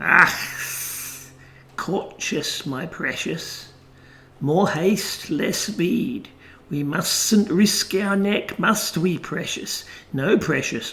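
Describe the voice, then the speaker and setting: A man does a put-on character voice, high-pitched and creaky. He speaks at a very slow pace with long, frequent pauses. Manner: cautious, wheedling, hissing.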